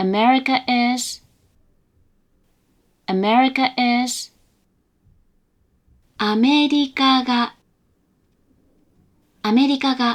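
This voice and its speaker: A put-on, robotic, female-sounding character voice speaks with high pitch at a fairly slow pace. Long, frequent pauses run through it. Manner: flat monotone pitch, robot-like.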